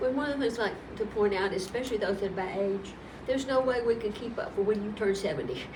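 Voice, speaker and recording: Very fast speech from a woman at a fairly high pitch, with audible room echo and noticeable background noise. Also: ordinary pitch variation. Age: 70s. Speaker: tax commissioner. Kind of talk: interview.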